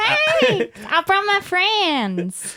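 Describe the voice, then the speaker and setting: At an extremely high pitch, the speaker performs a put-on character voice. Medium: actual play. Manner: cheerful, friendly.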